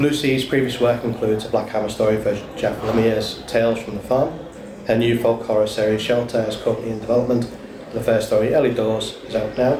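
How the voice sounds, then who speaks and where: A man with a Liverpool accent talks at a very fast pace in a monotone, flat intonation. The recording carries audible room echo and noticeable background noise. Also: medium pitch for a man. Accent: Scouse. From Liverpool, England. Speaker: panel moderator. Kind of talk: panel introduction. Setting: convention stage with audience.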